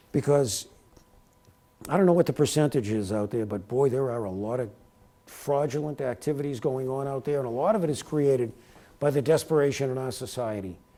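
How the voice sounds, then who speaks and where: The speaker has a New York accent and a dark, mellow tone. The pace is fairly quick, with ordinary pitch variation. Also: man, medium pitch for a man. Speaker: speaker giving a talk. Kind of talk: lecture Q&A. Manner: fast.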